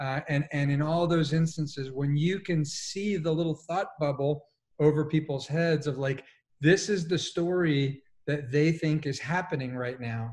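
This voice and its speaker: Somewhat breathy and fairly high, a man's voice carries an American accent and fairly even intonation. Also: moderate pace. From Colombia, raised partly in US. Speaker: executive coach; panelist. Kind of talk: panel discussion. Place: home room.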